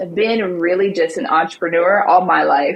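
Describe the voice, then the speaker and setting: With an Alabama accent, a woman speaks with ordinary pitch variation. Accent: Southern US (Alabama). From US South, Montgomery, Alabama. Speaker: social media marketing agency owner. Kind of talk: interview. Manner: animated.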